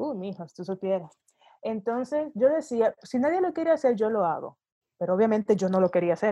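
A woman talks at a fairly quick pace with a fairly high pitch and very wide pitch swings. Her tone is dark and mellow, and the background is quiet. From Dominican Republic, Santo Domingo. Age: 40s. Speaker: UX designer. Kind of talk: interview conversation.

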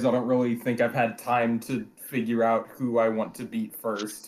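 He talks at a medium tempo. This man speaks with an American accent. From US Midwest. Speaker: guest, team co-general manager in a simulated baseball league. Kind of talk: casual chat.

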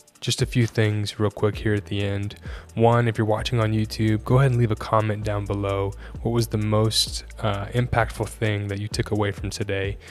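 Over music in the background, a man talks at a moderate pace with a fairly low pitch and ordinary pitch variation. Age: 20s. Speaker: podcast host. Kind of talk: casual interview chat.

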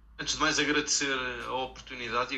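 Against noticeable background noise, a man talks at a very fast pace in a monotone, flat delivery. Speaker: local politician and podcast panelist. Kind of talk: interview.

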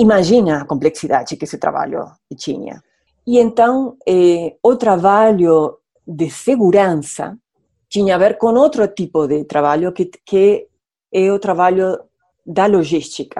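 A woman with a medium pitch and a dark, mellow tone talks at a fairly slow pace with lively intonation over a quiet background. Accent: strong Spanish. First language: Spanish (speaking Portuguese). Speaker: international relations professor, widow of a diplomat. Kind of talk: radio interview. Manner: halting, repeats words, mixes Spanish and Portuguese.

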